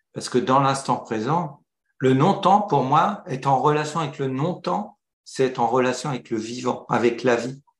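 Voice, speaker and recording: A man talks fairly slowly in a somewhat breathy voice, his pitch varying in an ordinary way. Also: medium pitch for a man. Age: 60s. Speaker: entrepreneur. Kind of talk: interview. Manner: halting.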